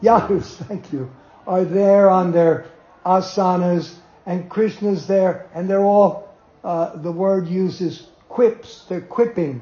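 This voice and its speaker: The speaker has an American accent. The pace is very slow. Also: man. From US Northeast, Jersey City, New Jersey. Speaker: spiritual teacher recalling his guru. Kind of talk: storytelling talk to devotees. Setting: small gathering in an apartment.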